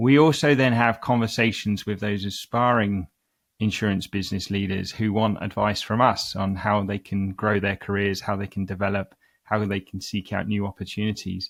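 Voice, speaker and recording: This man has a London accent and a fairly low pitch, talking at a moderate pace with fairly even intonation. The recording is very clean with a silent background. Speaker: CEO of executive search firm, podcast host. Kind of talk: interview. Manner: hesitant with frequent fillers.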